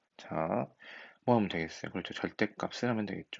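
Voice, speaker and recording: A man speaks with ordinary pitch variation. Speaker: high school math teacher. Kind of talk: recorded lecture. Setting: recorded at home at night.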